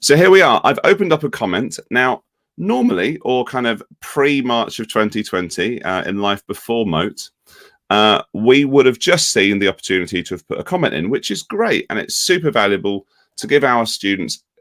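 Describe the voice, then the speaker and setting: In a very clean recording with a silent background and a dry, close sound with no echo, a man with a British accent speaks at a medium pitch and moderate pace, his pitch swinging very widely. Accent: UK. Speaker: ed-tech company education lead. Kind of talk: software tutorial demo.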